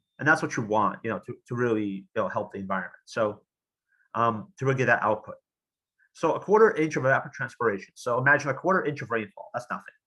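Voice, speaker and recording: Very fast and lively in intonation, a man talks at a medium pitch. His tone is bright and sharp against a quiet background. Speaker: engineer and green technology expert. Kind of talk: lecture. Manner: halting, many fillers.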